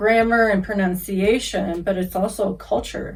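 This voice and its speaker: In a Kentucky accent, a woman speaks at a fairly slow pace with fairly even intonation. Room echo can be heard. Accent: Kentucky Southern American. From US South, Kentucky. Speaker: English teacher. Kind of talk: casual introduction to viewers.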